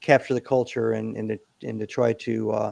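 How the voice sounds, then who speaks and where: Here a man uses a plain, everyday voice at a medium pitch. His intonation is fairly even and his pace fairly quick. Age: 60s. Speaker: Navy SEAL veteran and company CEO. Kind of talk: interview. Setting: podcast interview.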